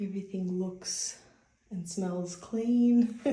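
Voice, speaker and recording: With audible room echo, a woman speaks at a very slow pace. Her medium-pitched voice has monotone, flat intonation. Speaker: travel vlogger. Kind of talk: casual vlog narration. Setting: hotel room; walking outdoors in city. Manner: whispering; casual, filler-heavy.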